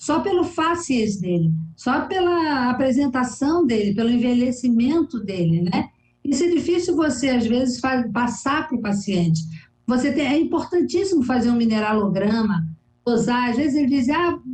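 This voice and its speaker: A woman speaks at a moderate pace and a high pitch, with very wide pitch swings and very even loudness. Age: 60s. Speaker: physician. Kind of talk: TV interview.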